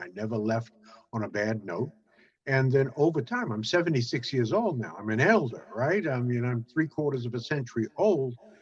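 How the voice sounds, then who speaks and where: This man speaks with a New York accent at a fairly quick pace. His pitch sits in the medium range. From Brooklyn, New York. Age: 70s. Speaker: business networking expert. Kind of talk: interview. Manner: halting with many fillers.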